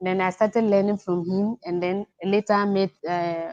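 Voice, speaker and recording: A woman speaks with a Ghanaian accent at a fairly slow pace. Her medium pitch has a dark, mellow tone. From Ghana, village upbringing. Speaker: caller. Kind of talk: testimony. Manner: halting; soft-spoken.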